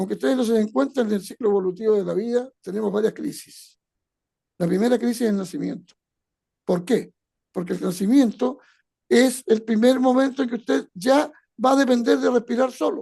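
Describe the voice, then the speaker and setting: Speaking at a fairly quick pace, a man with a high pitch and a dark, mellow tone shows ordinary pitch variation. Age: 70s. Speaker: retired educator. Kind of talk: motivational talk.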